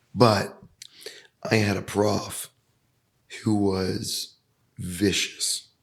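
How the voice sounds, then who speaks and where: Pausing long and often, a man with a fairly low voice speaks at a very slow pace in a monotone, flat intonation. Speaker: podcast host. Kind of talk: interview conversation.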